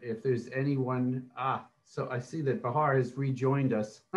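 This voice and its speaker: The speech unfolds at a fairly slow pace. The voice is somewhat breathy. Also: man. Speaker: panel moderator. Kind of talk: panel discussion. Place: home room. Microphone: webcam.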